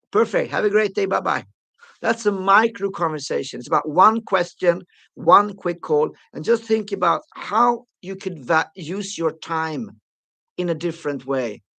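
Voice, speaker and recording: With a raised, projected voice and an animated tone, a man speaks at a high pitch and moderate pace, his bright, sharp tone showing ordinary pitch variation between long, frequent pauses against a quiet background. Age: 60s. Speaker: sales trainer. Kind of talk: live webinar training.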